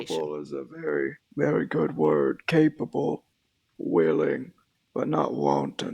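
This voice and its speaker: A man's raspy, put-on character voice, very deep and low in pitch, at a moderate pace. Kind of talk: western roleplay drawl. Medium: game stream. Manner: slow, weary, measured.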